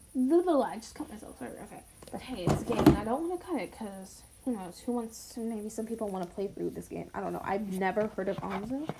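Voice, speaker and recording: Over noticeable background noise, a woman with a fairly high voice races at a very fast pace, her intonation lively and her loudness swinging widely. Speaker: gaming youtuber. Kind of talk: game commentary reading aloud. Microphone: not using a microphone, built-in mic.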